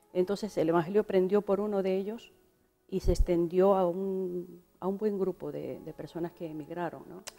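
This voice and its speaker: Her pitch is medium for a woman and her intonation monotone and flat. She speaks at a moderate pace with big swings in loudness. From Venezuela, Galician parents. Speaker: pastor. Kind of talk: interview.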